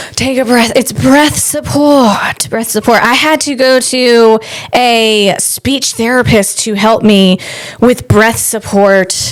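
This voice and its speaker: A woman talks very slowly, her pitch varying in an ordinary way, while noticeable background noise runs underneath. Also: fairly high pitch for a woman. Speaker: comedian and podcast host. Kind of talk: casual solo podcast monologue. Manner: animated, rambling delivery.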